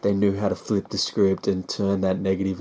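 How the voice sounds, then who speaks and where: In an Australian accent, the voice has a dark, mellow tone and a monotone, flat intonation at a moderate pace. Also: man. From Australia, Sydney. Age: 20s. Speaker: hip-hop artist. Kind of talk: vlog monologue. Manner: casual, filler-heavy.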